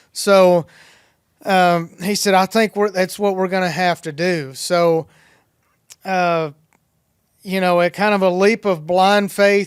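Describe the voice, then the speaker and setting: A high-pitched man with a Tennessee accent speaks very slowly, with fairly even intonation and long, frequent pauses. The recording is very clean and dry, close-up with no echo and a silent background. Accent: Southern US (Tennessee). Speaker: dairy farmer. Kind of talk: podcast interview answer.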